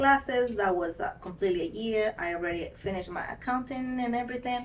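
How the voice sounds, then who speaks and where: A woman with a Spanish accent. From Ecuador. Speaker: nail technician. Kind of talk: interview.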